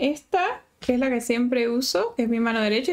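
Over a quiet background, a woman talks fairly quickly in a high voice. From Venezuela. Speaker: sculpting teacher. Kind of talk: live-stream tutorial. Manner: chatty, warm. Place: home room.

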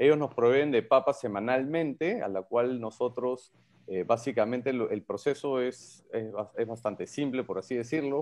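The man talks at a moderate pace. His pitch varies in an ordinary way. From Peru. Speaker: entrepreneur, vodka producer. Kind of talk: radio interview. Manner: hesitant, many fillers. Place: home room. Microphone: video call.

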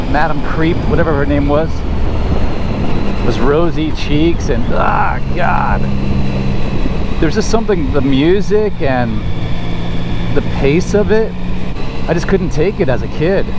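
Speech comes at a fairly slow pace with long, frequent pauses. The sound is dry with no echo, over loud background noise. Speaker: motorcycle vlogger. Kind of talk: casual vlog chat. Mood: relaxed, joking. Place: motorbike. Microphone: helmet.

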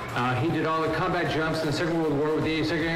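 A man is speaking. Background noise is noticeable, and there is audible room echo. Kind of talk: public speech. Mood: warm, grateful, light humor. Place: stage.

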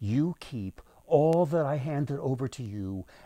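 Lively intonation runs through a voice reading aloud in a natural voice.

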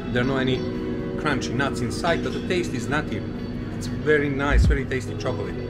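Against loud background music, a man talks at a very fast pace with ordinary pitch variation. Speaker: travel vlogger. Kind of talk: casual vlog chat. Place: shop. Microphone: phone near.

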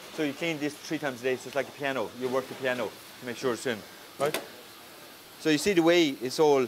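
A man with an Irish accent speaks very fast in a fairly high voice, with ordinary pitch variation. He leaves long, frequent pauses, and background noise is noticeable. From Ireland. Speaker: chef. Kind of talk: cooking class demonstration. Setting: restaurant kitchen in full operation. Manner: animated.

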